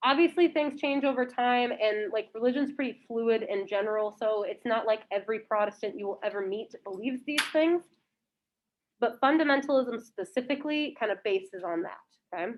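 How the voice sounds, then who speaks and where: A woman's lively intonation at a fairly quick pace. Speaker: high school history teacher. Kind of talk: lecture. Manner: loud.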